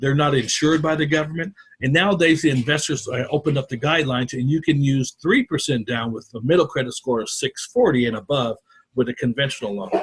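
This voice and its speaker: Speaking at a very fast pace, a man with a fairly high pitch and a somewhat breathy voice uses ordinary pitch variation. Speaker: mortgage loan officer. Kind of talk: workshop presentation.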